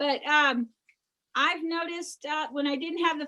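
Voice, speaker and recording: A woman's high-pitched voice, bright and sharp in tone, is raised and projected with fairly even intonation. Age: 60s. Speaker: teacher. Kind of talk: cooking demonstration over video call.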